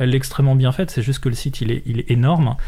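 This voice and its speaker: This man's voice has a dark, mellow tone, sits at a medium pitch, and sounds somewhat breathy. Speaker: software trainer and consultant. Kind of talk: casual interview. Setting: radio studio. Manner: halting, many repetitions.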